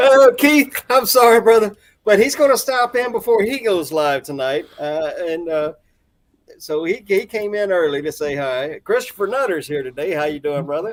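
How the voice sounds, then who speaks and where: A man speaks loudly in a high voice. His pitch swings very wide. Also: moderate pace. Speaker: reseller livestream host. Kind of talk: casual chat. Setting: garage livestream.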